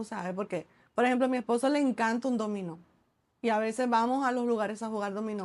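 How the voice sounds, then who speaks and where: The delivery comes at a very fast pace. Its intonation stays fairly even. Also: woman, fairly high pitch for a woman. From Dominican Republic, Santo Domingo. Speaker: entrepreneur and author. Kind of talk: casual interview chat.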